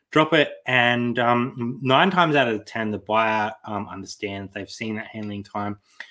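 A man with an Australian accent, fairly slow but with hardly any pauses, big swings in loudness, ordinary pitch variation, and a quiet background. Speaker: online reseller, channel co-host. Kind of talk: casual live stream chat. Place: home room.

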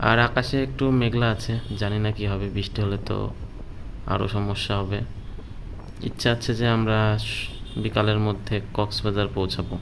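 A man speaks at a fairly low pitch. Background noise is noticeable. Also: fairly even intonation. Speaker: moto vlogger rider. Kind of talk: casual vlog chat. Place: motorbike. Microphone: helmet.

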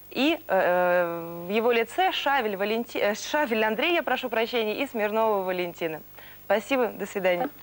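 A woman speaks at a moderate pace in a fairly high voice. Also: lively intonation, very even loudness. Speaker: tv presenter. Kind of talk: tv interview. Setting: studio. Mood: warm, smiling. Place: studio. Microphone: lapel.

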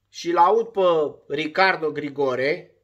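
A man's bright, sharp voice with ordinary pitch variation against a quiet background. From Romania. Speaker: former footballer turned sports vlogger. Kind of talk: casual monologue vlog. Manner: animated. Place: home room. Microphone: phone near.

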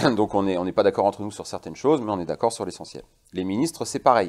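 Against a quiet background, a man with fairly low pitch and a dark, mellow tone speaks with ordinary pitch variation. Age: 40s. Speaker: guest. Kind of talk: interview. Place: studio. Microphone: lapel.

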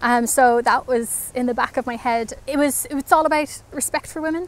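Speaking at a very fast pace, a woman uses a high pitch in a Northern Irish accent. The sound is dry, with no echo. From Belfast, Northern Ireland. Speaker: interviewee, local resident. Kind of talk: interview answer. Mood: emotional, relieved, reflective. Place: garden.

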